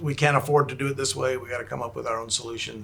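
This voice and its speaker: A man with a Texan accent talks at a very fast pace in a fairly high pitch. Noticeable background noise can be heard. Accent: Texan American English. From Texas, Houston. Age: 60s. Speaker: special effects makeup artist. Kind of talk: interview chat.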